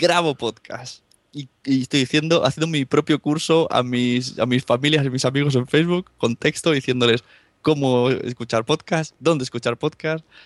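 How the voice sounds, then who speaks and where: With a fairly high pitch and fairly even intonation, a man is heard in a dry, close recording with no echo and a quiet background. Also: moderate pace. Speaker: podcaster. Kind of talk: casual chat. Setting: remote call from Spain, late at night.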